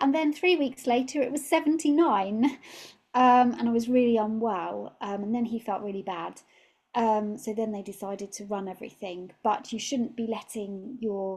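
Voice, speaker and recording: With a British accent, a woman speaks at a moderate pace in a fairly high pitch, her dark, mellow tone somewhat breathy, her pitch variation ordinary, and the recording very clean over a silent background. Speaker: nutritional therapist. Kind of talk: talk.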